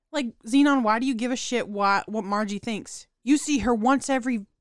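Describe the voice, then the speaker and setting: A woman speaks in a high voice. The recording is very clean, with a silent background. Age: 20s. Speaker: podcast co-host. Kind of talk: casual chat.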